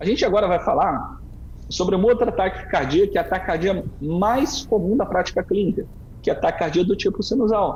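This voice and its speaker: A man speaks at a fairly quick pace in a high pitch, with ordinary pitch variation and very even loudness. Noticeable background noise sits behind him. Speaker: cardiologist. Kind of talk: lecture. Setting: online live stream. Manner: fast.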